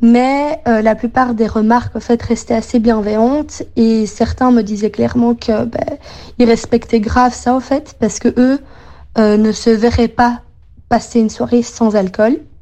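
A woman speaks in an ordinary speaking voice, fairly high in pitch, at a fairly slow pace. Her intonation is fairly even and her loudness very even. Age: 20s. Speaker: interviewee. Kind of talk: recorded testimony.

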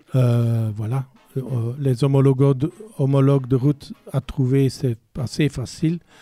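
Over background music, a man's voice comes through dry and close, with no echo. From Belgium, Brabant. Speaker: museum curator. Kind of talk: radio interview.

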